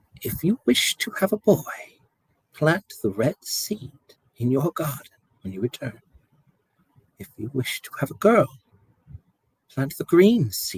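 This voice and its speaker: In a put-on character voice, a man speaks fairly slowly at a fairly high pitch, with very wide pitch swings and long, frequent pauses. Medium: read story.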